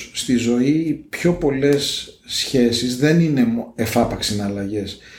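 Over noticeable background noise and audible room echo, a man speaks at a fairly slow pace and medium pitch with ordinary pitch variation. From Greece, Piraeus. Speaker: negotiation consultant. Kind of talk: interview.

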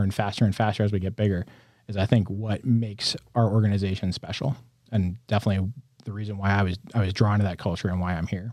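A man with an American accent and a plain, everyday voice talks in a fairly low pitch with fairly even intonation. The recording is very clean, with a silent background. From upstate New York. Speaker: company innovation executive and mechanical engineer. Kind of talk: casual interview.

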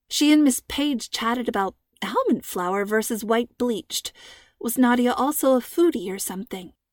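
A woman's high-pitched voice with lively intonation at a moderate pace, in a very clean recording with a silent background and a dry, close sound with no echo. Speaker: author and audiobook narrator. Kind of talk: scripted narration of a young-adult mystery story, read aloud as an audiobook chapter. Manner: smooth, storyteller-like reading, varying tone for the characters' dialogue; warm and friendly in the intro and sign-off.

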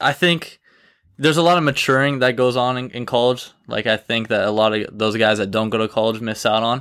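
On a very clean recording with a silent background, a man talks in a normal speaking voice at a medium pitch with ordinary pitch variation. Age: 20s. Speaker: college tennis player. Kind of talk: casual interview.

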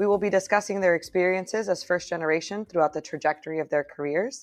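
Against a quiet background, a woman with an unremarkable speaking voice talks at a medium pitch with ordinary pitch variation. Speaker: podcast host and doctoral student. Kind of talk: interview with scripted intro.

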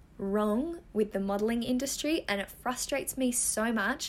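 Speaking fairly slowly with a fairly high pitch, a woman uses lively intonation and an animated tone with an Australian accent. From Western Australia. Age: 20s. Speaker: model and podcast host. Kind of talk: casual chat.

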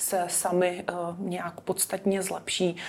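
This woman speaks at a medium pitch and a very slow pace. Her intonation is flat and monotone. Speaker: dermatologist. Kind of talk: interview. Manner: formal.

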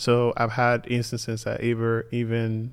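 The recording is very clean with a silent background. A man speaks at a medium pitch. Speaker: podcast co-host. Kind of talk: casual chat.

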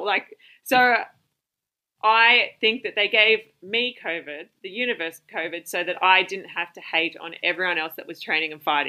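A woman with an Australian accent speaks with big swings in loudness. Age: 30s. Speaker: Muay Thai fighter and personal trainer. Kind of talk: podcast interview. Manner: animated.

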